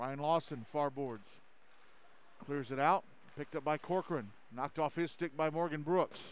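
Speaking in an animated tone, a man with a fairly high pitch shows ordinary pitch variation. His delivery has long, frequent pauses. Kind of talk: live ice hockey play-by-play commentary. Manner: rapid-fire, clipped play-by-play that names puck carriers and tracks the action; animated and emphatic on goals.

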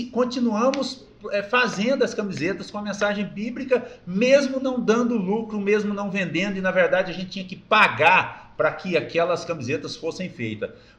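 Noticeable background noise behind a man's high voice, moderate in pace and ordinary in its pitch variation. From Brazil, interior of Goiás. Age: 50s. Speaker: company founder and president. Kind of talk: casual interview, life story. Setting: studio.

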